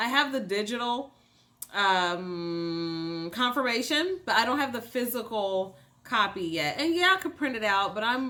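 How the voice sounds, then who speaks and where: A woman with an American accent and medium pitch talks at a moderate pace in an animated tone. Her bright, sharp voice makes very wide pitch swings. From US Midwest, Cincinnati. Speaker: mental health coach, YouTuber. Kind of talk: casual mukbang chat to camera.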